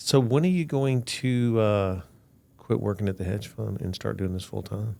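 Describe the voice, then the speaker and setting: At a moderate pace, a man speaks in a fairly low pitch with a dark, mellow tone. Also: ordinary pitch variation. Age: 60s. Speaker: podcast host. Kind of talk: podcast interview.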